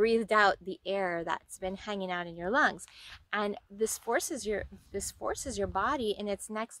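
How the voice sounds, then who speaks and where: Her tone bright and sharp, a woman speaks at a moderate pace with ordinary pitch variation. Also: dry sound with no echo. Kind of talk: casual vlog chat. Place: waterside. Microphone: phone near.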